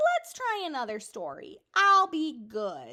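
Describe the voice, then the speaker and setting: Putting on a character voice, a woman projects a raised voice at an extremely high pitch and a fairly slow pace. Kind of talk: bedtime story. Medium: read story. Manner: eager, excitable.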